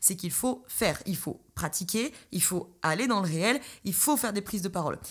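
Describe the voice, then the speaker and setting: A somewhat breathy woman at a medium pitch, in a very clean recording with a silent background. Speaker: podcast host and coach. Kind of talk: solo podcast monologue. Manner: fast.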